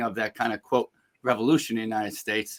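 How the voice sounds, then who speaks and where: A man talks in a New York accent. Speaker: executive coach and speaker. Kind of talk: webinar interview.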